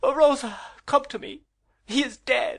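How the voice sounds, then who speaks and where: A man puts on a character voice, shrill and extremely high-pitched. He speaks at a fairly slow pace. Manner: anguished, crying out.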